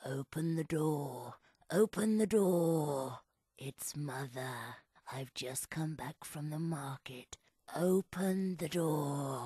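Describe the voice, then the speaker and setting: In a put-on character voice at a middle pitch, the speaker talks at a very slow pace. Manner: deceptive.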